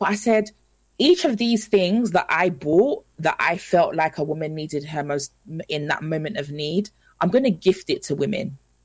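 A woman speaks at a moderate pace in a fairly low, somewhat breathy voice with lively intonation. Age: 30s. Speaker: motivational speaker and presenter. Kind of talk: radio interview. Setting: live radio broadcast.

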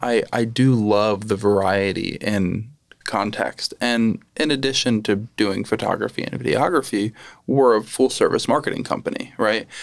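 With an American accent, a man in a plain, everyday voice speaks at medium pitch and a moderate pace, his intonation fairly even. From Lehigh Valley, Pennsylvania. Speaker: podcast host and photographer. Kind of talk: casual interview.

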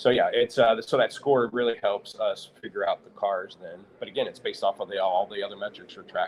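Speaking with a Midwestern American accent, a man lets his loudness swing widely. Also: fairly quick pace, hardly any pauses. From US Midwest, St. Louis, Missouri. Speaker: automotive software company owner. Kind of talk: live interview at trade show. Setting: live broadcast at trade show event.

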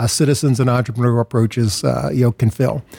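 A man speaks at a very fast pace and a medium pitch, somewhat breathy, with a dark, mellow tone and ordinary pitch variation. The sound is dry and close, with no echo. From US, Philadelphia. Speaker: nonprofit founder and CEO. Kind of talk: interview.

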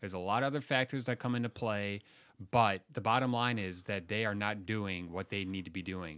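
An ordinary speaking voice from a man with an American accent, fairly low in pitch with ordinary pitch variation, in a very clean recording with a silent background. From Chicago suburbs, Illinois. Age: 30s. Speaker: policy think tank editor, former teacher. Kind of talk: panel discussion.

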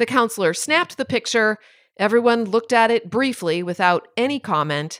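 Lively intonation in an unforced reading voice

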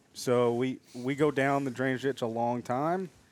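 Recorded very cleanly with a silent background and a dry, close sound with no echo, a man speaks in a plain, everyday voice at medium pitch with ordinary pitch variation. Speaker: hunter. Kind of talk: casual chat.

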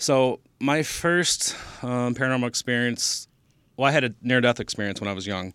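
A man with an American accent at a medium pitch, on a very clean recording with a silent background. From Michigan, Downriver Detroit area. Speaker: paranormal investigator. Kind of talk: casual interview chat. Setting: studio.

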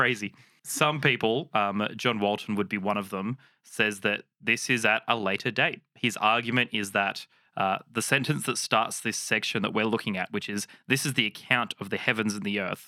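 On a very clean, dry, close recording with a silent background and no echo, a man with an Australian accent speaks at a moderate pace, his fairly low voice bright and sharp in tone, with fairly even intonation. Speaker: Bible podcast co-host. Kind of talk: casual chat.

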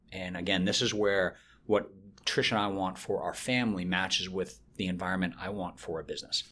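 Bright and sharp in tone, a man with an American accent speaks at a very deep, low pitch. His pace is fairly quick and his intonation fairly even. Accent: slight, fading Boston. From Boston area, US. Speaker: business executive. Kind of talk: interview.

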